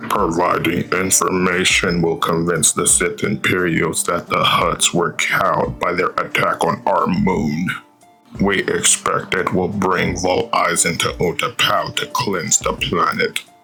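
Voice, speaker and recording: A man speaks in a put-on character voice at a fairly slow pace. Music plays clearly in the background. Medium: read story. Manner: formal, measured.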